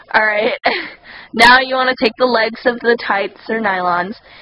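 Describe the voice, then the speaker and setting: A woman with ordinary pitch variation speaks at a moderate pace, noticeable background noise behind her. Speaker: cosplay tutorial maker. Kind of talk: tutorial.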